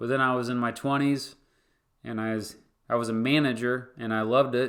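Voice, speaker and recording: A man with a Kansas accent speaks at a medium pitch and fairly even intonation, on a very clean recording with a silent background. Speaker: history YouTuber and former teacher. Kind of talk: livestream Q&A. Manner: casual, halting with fillers. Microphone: new microphone.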